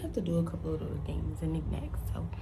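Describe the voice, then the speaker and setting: Audible room echo around a woman. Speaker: nail technician vlogger. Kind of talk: casual vlog chat. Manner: rambling, casual; quiet in the morning.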